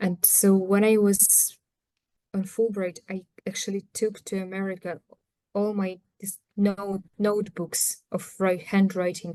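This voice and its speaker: With a Ukrainian accent, a woman speaks in a medium pitch and a dark, mellow tone, her intonation monotone and flat. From Ukraine. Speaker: anthropologist. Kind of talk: talk on her book. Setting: video call. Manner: halting.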